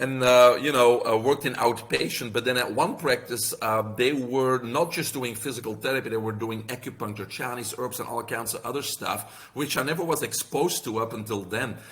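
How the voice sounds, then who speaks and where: A man with a Belgian accent at a moderate pace, with ordinary pitch variation. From Belgium. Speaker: health practitioner and author. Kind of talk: podcast interview.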